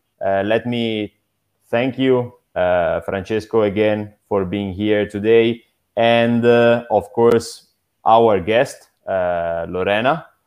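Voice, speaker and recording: At a very slow pace, a man speaks with medium pitch and fairly even intonation. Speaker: podcast host. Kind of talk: interview.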